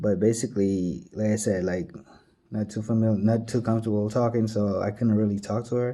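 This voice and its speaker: A man with an American accent talks at a moderate pace in a fairly low pitch, his tone dark and mellow, his intonation fairly even. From outside the US. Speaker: vlogger. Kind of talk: storytelling. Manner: hesitant, filler-heavy.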